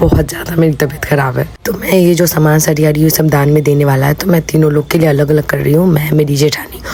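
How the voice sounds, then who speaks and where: A woman's very deep, low voice at a moderate pace, with fairly even intonation, hardly any pauses, and noticeable background noise. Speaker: vlogger. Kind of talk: vlog voice-over. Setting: voice-over recorded at home. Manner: casual, chatty.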